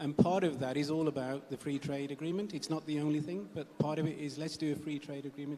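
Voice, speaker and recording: Speaking at a very fast pace, a man with a fairly high pitch uses fairly even intonation. He has a slight Punjabi accent. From UK, of Punjabi parents. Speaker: trade diplomat. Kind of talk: panel discussion opening remarks. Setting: stage with audience. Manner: hesitant, many fillers.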